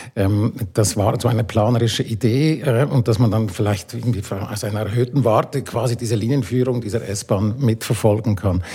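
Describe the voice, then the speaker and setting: A man's fairly even intonation is heard with noticeable background noise behind him. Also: medium pitch for a man, moderate pace, hardly any pauses. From Switzerland. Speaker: architect and urban planner. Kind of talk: panel discussion.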